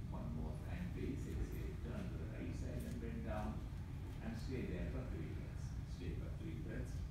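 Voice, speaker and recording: A man talks at a moderate pace. Loud background noise and audible room echo surround his voice. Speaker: yoga teacher. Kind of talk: yoga class instruction. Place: gym. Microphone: camera far.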